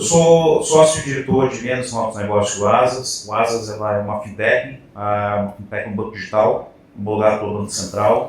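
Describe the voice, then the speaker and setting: Over noticeable background noise and audible room echo, a man with a fairly low voice speaks at a moderate pace with hardly any pauses and ordinary pitch variation. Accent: strong mineiro. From Minas Gerais, Brazil. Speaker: fintech sales director. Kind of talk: panel discussion.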